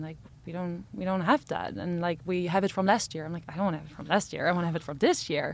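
The recording is very clean, with a silent background. A woman uses an ordinary speaking voice at a fairly low pitch. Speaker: company co-founder. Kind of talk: interview.

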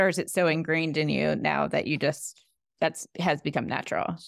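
There is vocal fry in this woman's voice as she speaks at a moderate pace. The recording is very clean, with a silent background. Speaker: podcast host and founder. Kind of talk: interview.

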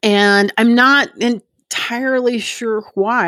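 In a very clean recording with a silent background, a woman with a Texan accent speaks with ordinary pitch variation. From Plano, Texas. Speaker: recovering alcoholic. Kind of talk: testimony.

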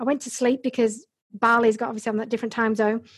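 A woman speaks at a high pitch with an English accent. The background is quiet. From Yorkshire, England (Bradford). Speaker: Amazon seller and business coach. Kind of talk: casual interview about her career story.

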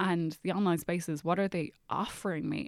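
Someone with an Irish accent talks at a fairly quick pace. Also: woman. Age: 30s. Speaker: writer and journalist. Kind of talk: casual chat.

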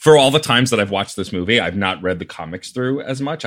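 Delivered at a fairly quick pace with lively intonation, an ordinary speaking voice comes through on a very clean recording with a silent background. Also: man. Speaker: podcast guest. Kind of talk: casual chat.

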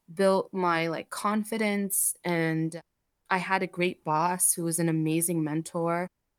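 Recorded very cleanly against a silent background with a dry, close sound and no echo, a woman speaks in an unremarkable speaking voice at medium pitch, at a fairly slow pace, with fairly even intonation. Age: 30s. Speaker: coffee roaster and business owner. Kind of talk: interview.

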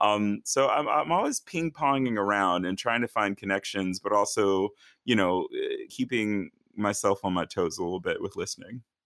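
A man with an American accent and a normal speaking voice talks at a moderate pace in a fairly low pitch with ordinary pitch variation, in a dry, close sound with no echo and a very clean recording with a silent background. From rural northern Virginia, US. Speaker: opera singer. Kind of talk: interview.

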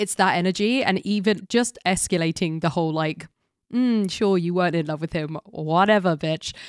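With a British accent, a woman speaks at a moderate pace with ordinary pitch variation. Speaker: podcast co-host. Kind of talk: casual film discussion. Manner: talkative.

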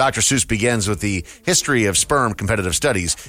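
Fairly quick, fairly low-pitched male speech in an unremarkable speaking voice. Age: 40s. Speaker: radio show co-host. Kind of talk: news reading; casual chat.

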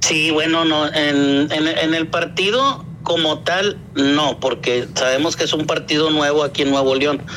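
A man talks at a fairly slow pace in a fairly high voice, with hardly any pauses. His intonation is fairly even, his loudness very even, and noticeable background noise runs behind him. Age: 50s. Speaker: activist father entering politics. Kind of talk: interview. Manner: halting.

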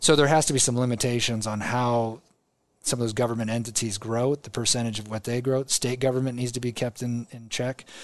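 A man with a Midwestern American accent speaks at a fairly quick pace and a medium pitch, his intonation monotone and flat. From Nebraska, Omaha. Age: 40s. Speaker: state senator and governor candidate. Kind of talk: casual interview.

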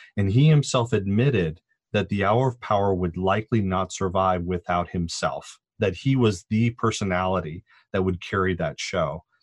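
Against a quiet background, a man with an American accent and a normal speaking voice talks at fairly low pitch with ordinary pitch variation. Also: moderate pace, dry, close sound with no echo. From Southern California, Orange County. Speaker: sociology professor. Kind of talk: interview.

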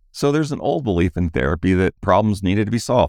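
A man's very deep, low voice with vocal fry, very fast and swinging very widely in pitch, in a dry, close sound with no echo. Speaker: relationship podcast host and coach. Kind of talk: podcast conversation between married co-hosts.

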